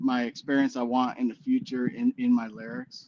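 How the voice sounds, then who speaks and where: A man with an American accent speaks at a medium pitch. His pace is fairly slow, and his pitch varies in an ordinary way. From US Midwest (Illinois). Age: 40s. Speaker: musician. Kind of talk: casual interview chat. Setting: live stream. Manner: hesitant, many fillers.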